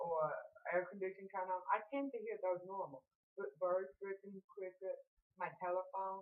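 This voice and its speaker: Fairly even intonation from a woman with an American accent. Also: medium pitch for a woman, moderate pace. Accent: Southern US accent, deaf speech. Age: 40s. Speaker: deaf guest. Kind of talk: casual chat.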